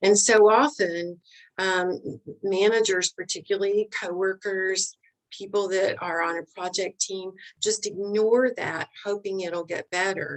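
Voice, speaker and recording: Here a woman speaks in a Southern US accent. Her pace is fairly slow, with ordinary pitch variation. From US South. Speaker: leadership expert. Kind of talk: interview.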